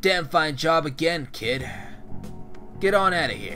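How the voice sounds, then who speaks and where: Over clear music in the background, a man does a gruff, put-on character voice at a fairly high pitch and a moderate pace. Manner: gruff, approving.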